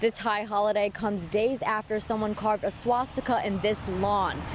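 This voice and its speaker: A woman talks at a moderate pace and a fairly high pitch, with noticeable background noise present. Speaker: TV news reporter. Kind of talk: TV news report.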